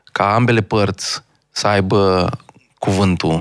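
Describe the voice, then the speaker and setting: Speaking at a very slow pace, a man holds a fairly low pitch in a flat, monotone delivery. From Romania, Bihor county (Marghita). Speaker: stand-up comedian. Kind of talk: casual interview chat.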